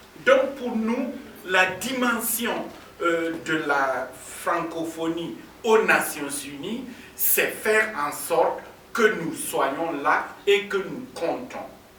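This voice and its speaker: Raised, projected, high-pitched man's voice with a Burkinabe accent, very wide pitch swings and a very slow pace, amid audible room echo and noticeable background noise. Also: long, frequent pauses. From Burkina Faso. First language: African languages (speaking French). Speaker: diplomat. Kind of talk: conference speech.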